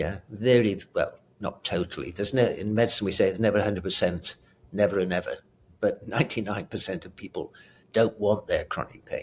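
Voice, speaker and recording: Speaking at a fairly quick pace, a man comes across with a British accent. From Britain. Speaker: retired pain medicine doctor. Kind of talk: interview conversation.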